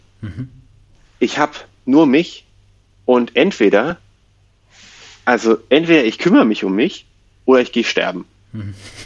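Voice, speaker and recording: The speaker moves at a moderate pace, with long, frequent pauses. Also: man, medium pitch for a man. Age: 20s. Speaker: education activist. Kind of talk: interview. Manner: halting, many fillers.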